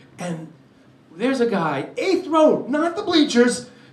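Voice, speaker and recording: Someone talks with a New York accent. There is noticeable background noise and audible room echo. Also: man. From New York, Brooklyn. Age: 60s. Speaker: comedian. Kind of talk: stand-up. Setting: stage with audience.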